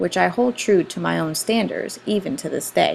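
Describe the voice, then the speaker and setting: A woman talks at a moderate pace and medium pitch, with noticeable background noise around her. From Puerto Rico. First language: Spanish. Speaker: school director. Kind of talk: student presentation. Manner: formal.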